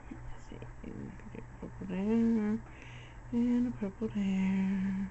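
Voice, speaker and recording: A woman speaks at a very slow pace, with audible room echo. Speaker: crafter. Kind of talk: tutorial. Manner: casual.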